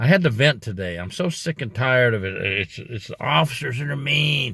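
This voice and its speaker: The speech moves at a moderate pace with lively intonation in a very clean recording with a silent background. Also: man. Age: 60s. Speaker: former prison officer, youtuber. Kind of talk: casual vlog monologue. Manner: emphatic.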